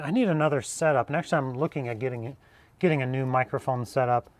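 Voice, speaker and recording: On a very clean recording with a silent background and a dry, close sound without echo, a man talks at a fairly quick pace with ordinary pitch variation. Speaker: jeep repair youtuber. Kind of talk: live stream repair tutorial. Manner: loud, speaking up.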